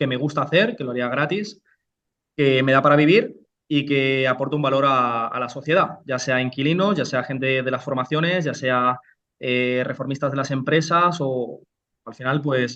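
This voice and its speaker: A man's bright, sharp tone carries ordinary pitch variation. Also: moderate pace. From Spain, Almería (Andalusia). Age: 30s. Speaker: real estate investor and entrepreneur. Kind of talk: interview. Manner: halting, many repetitions.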